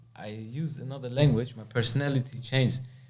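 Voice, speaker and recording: This man speaks fairly quickly in a somewhat breathy voice. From Germany. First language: German. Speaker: podcast host. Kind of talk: podcast interview.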